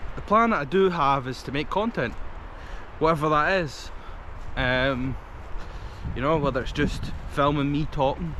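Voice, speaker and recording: Against audible room echo and noticeable background noise, a man with a fairly high voice speaks at a moderate pace in a Scottish accent, using ordinary pitch variation and long, frequent pauses. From Scotland. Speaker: vlogger. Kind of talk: casual vlog talk to camera. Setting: outdoors in a forest, walking. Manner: hesitant, many fillers.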